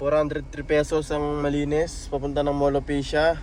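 A man with a fairly high voice talks while noticeable noise fills the background. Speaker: ride-hailing driver and vlogger. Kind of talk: casual vlog narration. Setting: in a car. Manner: casual, chatty.

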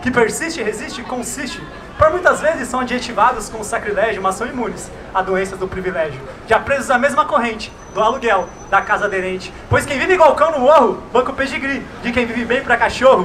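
With light background noise, a man with an extremely high pitch speaks at a fairly quick pace and with lively intonation. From Brazil, São Paulo east side. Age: young. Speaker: slam poet. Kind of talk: spoken word performance; performed spoken word poetry. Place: street. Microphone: handheld.

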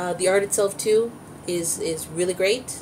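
Her tone is slightly mellow. This woman's pitch is fairly low.

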